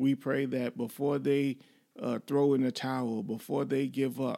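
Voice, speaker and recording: A man talks fairly slowly at a medium pitch, with fairly even intonation. He has a normal speaking voice. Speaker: marriage podcast host. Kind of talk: casual banter, faith-based talk. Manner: playful, bantering.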